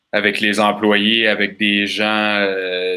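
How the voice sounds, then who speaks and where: This man's pitch is very deep and low, with a bright, sharp tone. He speaks with a Quebec accent. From Quebec, Bas-Saint-Laurent. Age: 30s. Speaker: festival organizer. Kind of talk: casual interview. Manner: calm.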